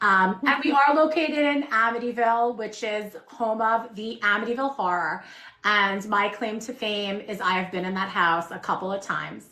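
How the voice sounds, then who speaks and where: The speaker, with a Long Island accent, talks at a moderate pace with ordinary pitch variation and hardly any pauses. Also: woman, fairly high pitch for a woman. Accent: true shore Long Island. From Long Island, New York. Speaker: shop owner. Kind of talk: casual chat. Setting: livestream.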